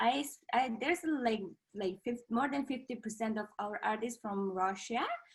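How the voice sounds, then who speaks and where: A woman with a Mongolian accent, at a moderate pace and with ordinary pitch variation. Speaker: contortionist. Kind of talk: casual chat. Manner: halting, frequent fillers.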